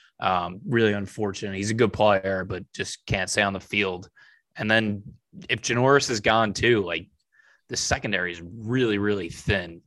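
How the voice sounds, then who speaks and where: A man's fairly low voice at a moderate pace, fairly even in intonation, a plain, everyday voice, over a quiet background. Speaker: sports podcast host. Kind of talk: casual chat. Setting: online call.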